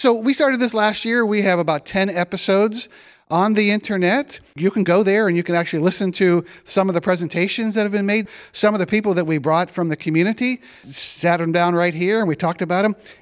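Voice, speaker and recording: A man with an American accent talks at a very fast pace in a high voice. The recording is very clean with a silent background. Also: ordinary pitch variation, very even loudness. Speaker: podcast host. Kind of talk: interview.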